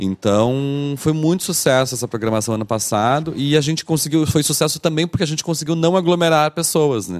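The recording is dry and close with no echo. A man delivers his words fairly quickly. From Brazil, Porto Alegre. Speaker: festival director and curator. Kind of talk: casual chat. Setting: studio.

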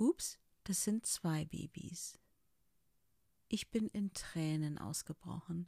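In a dry, close sound with no echo, a woman speaks very slowly with long, frequent pauses. Her fairly low, dark, mellow voice is somewhat breathy, with ordinary pitch variation. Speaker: podcaster sharing personal story. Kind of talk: personal testimony monologue.

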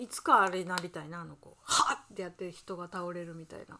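This woman speaks at a medium pitch and a moderate pace. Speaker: podcast co-host living at a temple. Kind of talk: casual chat. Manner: relaxed.

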